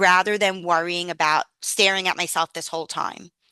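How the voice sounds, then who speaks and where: A woman's fairly low, loud voice with a bright, sharp tone and a New York accent, at a moderate pace, dry and close with no echo over a quiet background. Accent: New York City. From New York City. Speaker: university teaching and faculty development director. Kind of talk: conference Q&A. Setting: video call.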